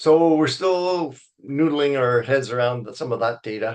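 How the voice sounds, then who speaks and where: A man talks at a fairly slow pace in a plain, everyday voice, with ordinary pitch variation and a quiet background. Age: 60s. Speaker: wildlife biologist. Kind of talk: lecture. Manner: casual.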